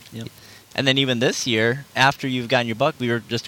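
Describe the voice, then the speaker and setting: Here a man with an American accent speaks at a medium pitch and a fairly quick pace. He has a plain, everyday voice with fairly even intonation. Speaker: podcast host. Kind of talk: casual chat.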